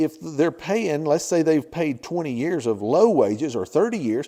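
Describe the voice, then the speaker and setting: A fairly high male voice with a dark, mellow tone, lively intonation and a moderate pace, on a very clean recording with a silent background. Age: 60s. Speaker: YouTube channel host giving life advice. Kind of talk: informal talk to camera. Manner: conversational.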